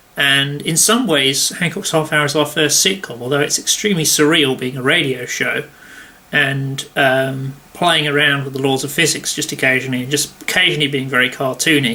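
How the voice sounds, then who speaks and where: A man with a fairly high pitch and fairly even intonation keeps a moderate pace while noticeable background noise plays. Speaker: impressionist vlogger. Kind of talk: casual vlog monologue. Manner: halting, many fillers.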